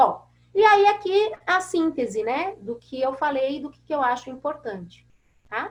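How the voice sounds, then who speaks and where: A woman speaks with a high pitch and very wide pitch swings. Her pace is fairly slow, and her loudness swings a lot. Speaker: veterinary pathology professor. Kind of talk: webinar lecture. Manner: animated.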